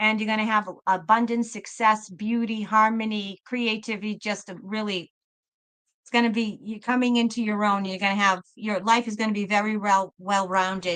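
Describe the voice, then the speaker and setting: In a Boston accent, a woman talks at a moderate pace with a fairly high pitch, monotone, flat intonation and big swings in loudness. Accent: Boston accent, noticeable but moderated. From Massachusetts, Boston area. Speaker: tarot reader, live stream host. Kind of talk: live tarot reading stream. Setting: live stream. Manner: repetitive, warm and effusive.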